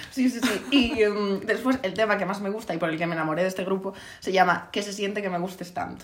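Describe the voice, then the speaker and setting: A woman talks very fast at a medium pitch with ordinary pitch variation, and there's audible room echo and noticeable background noise. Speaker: podcast co-host. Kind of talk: casual chat.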